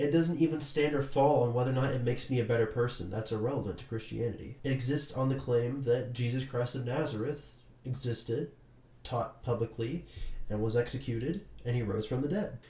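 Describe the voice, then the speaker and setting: Speaking at a fairly quick pace, a man has a dark, mellow tone that is somewhat breathy. His intonation stays fairly even. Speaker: YouTuber living with schizophrenia. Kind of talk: personal testimony talk to camera.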